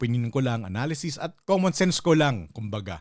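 A man speaks fairly quickly in a plain, everyday voice with lively intonation. The recording is very clean, with a silent background. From Philippines. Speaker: political commentary vlogger. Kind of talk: solo commentary monologue. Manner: casual, conversational.

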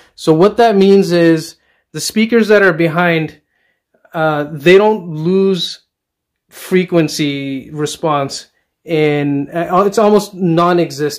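A man at a very slow pace with ordinary pitch variation, over a quiet background. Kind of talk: casual product review walkthrough. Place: home room. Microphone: phone near.

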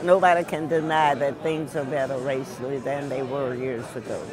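With crowd noise behind her, a woman speaks at a moderate pace in a dry sound with no echo. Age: 80s+. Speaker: war veteran. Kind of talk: interview. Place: cafe.

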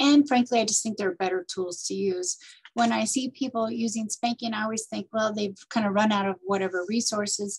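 A somewhat breathy woman at a fairly high pitch, fairly quick pace and ordinary pitch variation, over a quiet background. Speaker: parenting coach and nonprofit director. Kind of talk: interview. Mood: warm, thoughtful. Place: office. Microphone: webcam.

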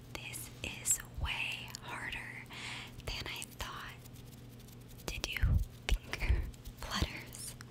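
Soft-spoken whispering comes at a very slow pace. Noticeable background noise is present. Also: woman. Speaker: content creator. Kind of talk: ASMR-style casual vlog chat. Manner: soft close-mic whisper. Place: home room. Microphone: studio mic.

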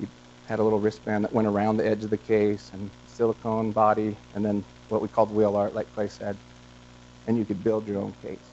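A man with an American accent in an unremarkable speaking voice, fairly low in pitch, with ordinary pitch variation and a fairly quick pace over light background noise. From Montana. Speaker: entrepreneur, company co-founder; guest. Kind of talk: guest lecture to students. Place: classroom.

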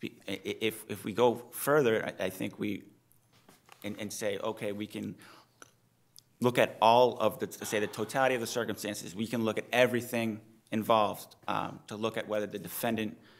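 Fairly even in intonation, a man speaks at a medium pitch and a moderate pace. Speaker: defense attorney. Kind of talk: appellate oral argument. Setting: courtroom. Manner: soft-spoken. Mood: earnest, measured. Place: hall. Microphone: podium.

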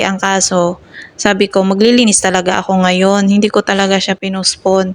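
Moderate pace and a plain, everyday voice. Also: woman. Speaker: nanny vlogger. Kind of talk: vlog narration.

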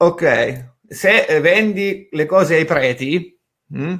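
The speaker is a man. His voice is high-pitched. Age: 30s. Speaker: online marketing educator. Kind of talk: live stream talk. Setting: live stream from home office. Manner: casual.

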